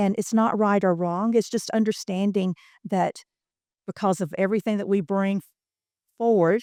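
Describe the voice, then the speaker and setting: A woman with a Southern US accent speaks at a medium pitch in a dark, mellow tone, the sound dry and close with no echo on a very clean recording with a silent background. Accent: Southern US accent, still present. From US Deep South. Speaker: workforce training program manager. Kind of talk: podcast interview. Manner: hesitant, many fillers.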